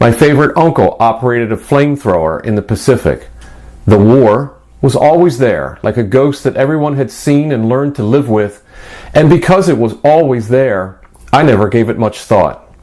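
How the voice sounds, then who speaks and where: A man speaks at medium pitch and a moderate pace, with ordinary pitch variation. He has a plain, everyday voice. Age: 60s. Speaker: author. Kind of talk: scripted narration; reading aloud.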